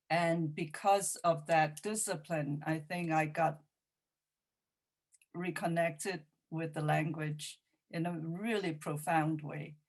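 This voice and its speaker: In a Cantonese accent, a woman with a very deep, low pitch speaks at a very slow pace. Long, frequent pauses break up her speech. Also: fairly even intonation. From Hong Kong. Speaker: poet and playwright. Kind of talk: Q&A discussion. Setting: video call.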